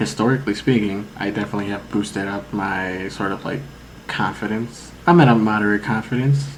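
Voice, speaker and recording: Noticeable background noise and audible room echo surround a man speaking at a fairly quick pace. His pitch is fairly low, with ordinary pitch variation. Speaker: podcast co-host. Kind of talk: casual chat.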